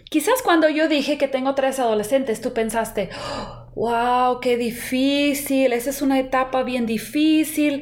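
A woman with a high pitch speaks at a fairly slow pace, hardly pausing at all. Her pitch variation is ordinary. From United States. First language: English (speaking Spanish). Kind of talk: devotional podcast monologue.

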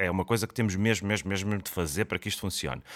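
A man with a European Portuguese accent talks at a very deep, low pitch with vocal fry. The sound is dry and close, with no echo. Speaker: podcast host, comedian. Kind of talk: comedic monologue. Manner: projected, put-on announcer voice.

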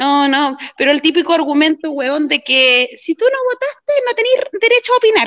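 A woman speaks at a moderate pace with an extremely high pitch. Her pitch swings very widely. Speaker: community activist. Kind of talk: casual chat.

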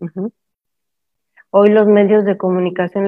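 A woman's voice, monotone and flat in intonation. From Mexico. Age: 50s. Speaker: permaculture educator and discussion host. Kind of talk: live online talk. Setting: live stream with Zoom participants.

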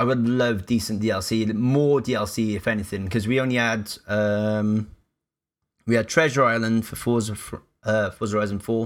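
On a very clean recording with a silent background, a man with a Cardiff accent speaks at a medium pitch and a moderate pace with fairly even intonation. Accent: Welsh (Cardiff). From Wales, Cardiff. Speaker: streamer, former radio presenter. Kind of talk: casual chat.

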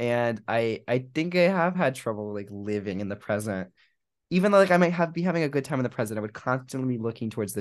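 In a normal speaking voice, a man with an American accent talks at a medium pitch and a fairly quick pace. His intonation is lively, and the background is quiet. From US South, South Florida. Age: young. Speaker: podcast co-host, college student. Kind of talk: casual chat.

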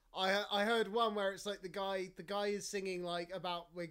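A man speaks with a southern English accent in a monotone, flat intonation. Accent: English (southern England). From England. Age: 20s. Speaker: podcast host. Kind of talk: casual chat.

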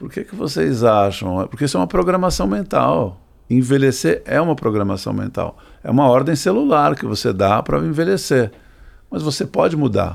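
Vocal fry runs through this man's medium-pitched voice. He talks at a moderate pace with very wide pitch swings. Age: 60s. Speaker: sailor and entrepreneur. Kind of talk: interview conversation.

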